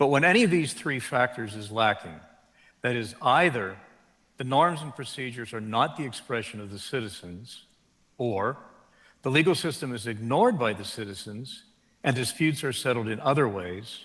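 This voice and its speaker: With lively intonation and a medium pitch, a man speaks in an American accent at a moderate pace, and there is audible room echo. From United States. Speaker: law professor. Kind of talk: keynote lecture. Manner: formal.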